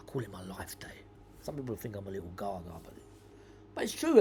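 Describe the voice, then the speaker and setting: This man has a London accent. He talks at a fairly quick pace. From South London. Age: 60s. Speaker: podcast host. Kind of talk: casual monologue. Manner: halting, many repeated words; rambling, waffles.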